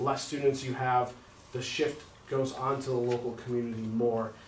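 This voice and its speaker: With audible room echo and noticeable background noise, a man talks at a fairly quick pace and medium pitch in a monotone, flat intonation. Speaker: school district treasurer. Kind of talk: financial presentation at board meeting. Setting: public board meeting. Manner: fast.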